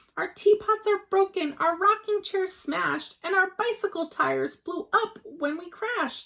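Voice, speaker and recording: Putting on a squeaky character voice, a woman speaks at an extremely high pitch and a moderate pace, with hardly any pauses and big swings in loudness. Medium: read story.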